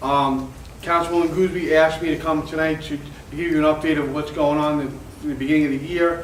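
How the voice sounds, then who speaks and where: Monotone, flat speech at a very fast pace comes through noticeable background noise and audible room echo. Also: man, fairly high pitch for a man. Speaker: town code enforcement official. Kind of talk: community meeting update. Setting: civic association meeting with mic. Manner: loud; halting.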